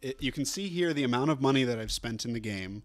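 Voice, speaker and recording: A man with an American accent has a normal speaking voice at medium pitch with ordinary pitch variation, recorded very cleanly against a silent background. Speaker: gaming streamer. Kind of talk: live gameplay commentary. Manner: casual, filler-heavy.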